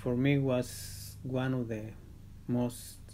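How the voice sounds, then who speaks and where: A man's dark, mellow, somewhat breathy voice of medium pitch, flat and monotone, with a Spanish accent and audible room echo. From Mexico. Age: old. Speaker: grandfather interviewed for documentary. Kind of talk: interview testimony. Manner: halting, with repetitions and fillers.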